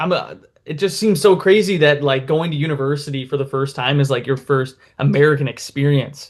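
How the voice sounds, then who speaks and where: A fairly quick, fairly high-pitched man's voice with a Midwestern accent and ordinary pitch variation. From Minnesota, US. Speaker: YouTube interviewer. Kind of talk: casual interview.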